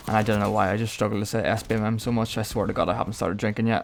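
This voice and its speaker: A man with an Irish accent at a very fast pace, on a very clean recording with a silent background. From Ireland. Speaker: gaming YouTuber. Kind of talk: gameplay commentary. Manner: casual, chatty.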